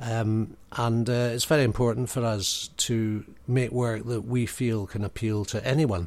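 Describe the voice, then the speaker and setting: In a Highland Scottish accent, a man speaks at a very slow pace on a very clean recording with a silent background. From Scottish Highlands. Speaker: actor, writer and theatre director. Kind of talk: casual interview. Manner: halting.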